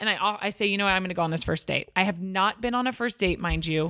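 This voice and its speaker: Her voice is a woman's at medium pitch, with a bright, sharp tone. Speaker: dating story guest. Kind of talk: casual chat.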